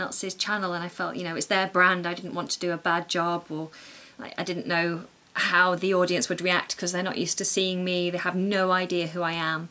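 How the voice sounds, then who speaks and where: The woman's voice carries a bright, sharp tone. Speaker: YouTuber vlogger. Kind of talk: vlog, casual monologue. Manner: halting, repeats words; speaking quietly.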